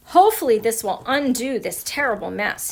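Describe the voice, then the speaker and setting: Here a woman puts on a character voice, high in pitch. She speaks at a moderate pace. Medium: read story. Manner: chatty, self-satisfied.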